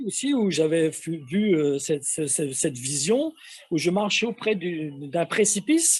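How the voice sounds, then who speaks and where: A man's high-pitched voice at a fairly slow pace. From metropolitan France. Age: 60s. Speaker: testimony guest. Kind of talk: testimony. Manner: halting, many hesitations.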